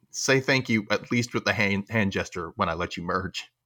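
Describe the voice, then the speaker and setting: A man with a Southern US accent talks at a fairly quick pace in a fairly low pitch, with ordinary pitch variation. His tone is bright and sharp, and the recording is very clean with a silent background. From Memphis, Tennessee. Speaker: podcast host. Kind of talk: casual panel chat.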